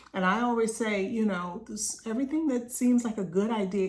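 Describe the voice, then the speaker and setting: A woman's voice with audible room echo. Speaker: business coach. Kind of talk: group coaching talk.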